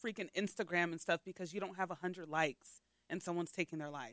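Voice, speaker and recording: A normal speaking voice from a woman, fairly low in pitch with ordinary pitch variation, dry and close with no echo. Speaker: podcast host. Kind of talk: casual podcast interview.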